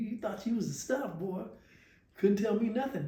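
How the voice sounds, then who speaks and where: A man speaks with ordinary pitch variation, with audible room echo and noticeable background noise. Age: 70s. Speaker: percussionist and music teacher. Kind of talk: interview. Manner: halting, many repetitions.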